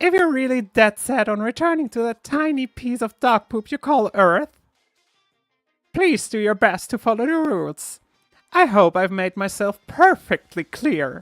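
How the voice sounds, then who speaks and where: Faint music plays behind a put-on character voice, fairly high in pitch, with a smug, playful tone and a moderate pace. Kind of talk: theatrical.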